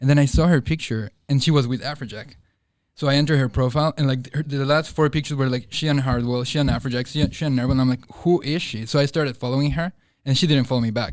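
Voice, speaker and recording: This man talks at a very fast pace with a Spanish accent. His pitch is fairly high, and his intonation stays fairly even. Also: very clean recording, silent background. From Bolivia. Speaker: nightlife marketing coordinator. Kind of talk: casual chat.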